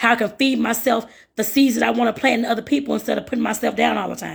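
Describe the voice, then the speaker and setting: A woman speaks very fast at a fairly high pitch. Vocal fry runs through her voice. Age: 40s. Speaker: life and career coach. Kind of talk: live-streamed coaching talk. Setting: live stream to social media. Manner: casual, conversational.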